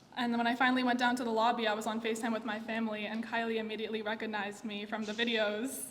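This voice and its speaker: Barely pausing, a woman talks at a very fast pace in a fairly high, monotone voice with flat intonation, with audible room echo and noticeable background noise. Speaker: eulogist, friend of the deceased. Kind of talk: eulogy. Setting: memorial gathering.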